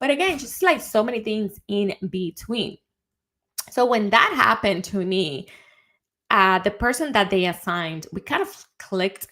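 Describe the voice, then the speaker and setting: In a Dominican accent, a woman speaks at a moderate pace with a medium pitch, a bright, sharp, animated tone, and lively intonation. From Dominican Republic. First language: Spanish. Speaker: CEO and advertising strategist. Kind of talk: casual monologue, live video. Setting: livestream.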